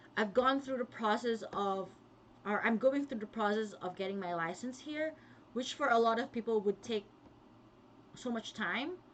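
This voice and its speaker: The speaker has a Filipino accent and a moderate pace. Long pauses come often. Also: woman, fairly high pitch for a woman, ordinary pitch variation. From Philippines, Kapampangan-speaking region. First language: Kapampangan. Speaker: vlogger, pharmacist. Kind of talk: casual livestream talk.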